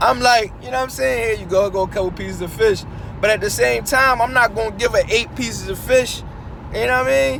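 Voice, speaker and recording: A man's high voice at a very fast pace, with very wide pitch swings over noticeable background noise. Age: young. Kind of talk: casual monologue while driving. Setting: in a car. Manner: casual, halting with many fillers.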